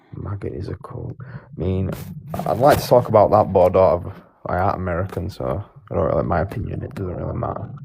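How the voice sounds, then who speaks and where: The speaker has a British accent and talks at a very fast pace with big swings in loudness. Noticeable background noise runs underneath. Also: man, fairly low pitch for a man, lively intonation. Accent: British accent, clear. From United Kingdom. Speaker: live-stream debater. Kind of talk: casual chat.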